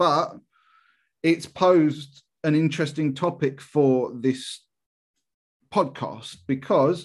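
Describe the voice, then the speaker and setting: The background is quiet as a man speaks. His voice is fairly high-pitched, with fairly even intonation. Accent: English. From England. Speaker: football podcast co-host. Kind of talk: casual chat.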